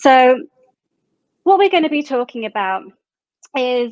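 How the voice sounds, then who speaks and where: The woman speaks with a British accent, recorded in a dry, close sound with no echo. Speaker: panel moderator. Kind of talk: panel discussion.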